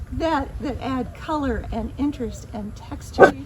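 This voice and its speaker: Noticeable background noise sits behind a woman's high-pitched voice. She talks at a very slow pace. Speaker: garden photojournalist. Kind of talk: interview host talk.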